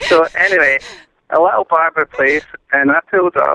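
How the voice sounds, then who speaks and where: A man speaks with a Scottish accent in a dry, close sound with no echo. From Scotland. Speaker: caller. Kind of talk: telling a funny anecdote. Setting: phone call.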